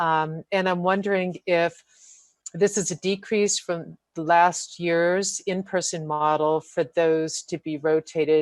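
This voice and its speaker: Very slow and fairly low-pitched, a woman's speech has fairly even intonation. The sound is dry and close with no echo. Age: 60s. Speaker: school committee member. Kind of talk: public meeting remarks. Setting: remote video meeting. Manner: hesitant, many fillers.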